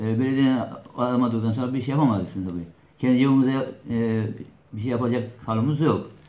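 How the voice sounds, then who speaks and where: A man speaks at a fairly quick pace but with long, frequent pauses and fairly even intonation, and the room echo is audible. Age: 60s. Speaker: neighbourhood headman. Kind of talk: interview answer. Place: office. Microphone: camera far.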